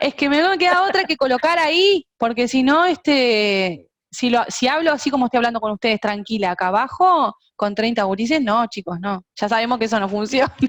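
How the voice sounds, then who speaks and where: A woman speaks with a Uruguayan accent at a high pitch. Her pitch swings very widely. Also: fairly quick pace, dry, close sound with no echo. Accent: Uruguayan Spanish (rioplatense). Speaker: music teacher and singer. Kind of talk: online lecture. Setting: video call.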